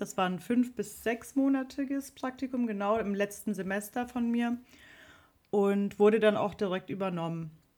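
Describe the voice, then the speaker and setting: A woman's medium-pitched voice at a moderate pace, a plain, everyday voice with ordinary pitch variation. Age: 30s. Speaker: social media manager and musician. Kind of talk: interview. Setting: video call.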